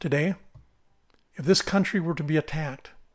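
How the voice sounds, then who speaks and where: A man with an American accent and a fairly high pitch, on a very clean recording against a silent background. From central Minnesota, US Midwest. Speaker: political podcaster. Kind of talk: scripted monologue.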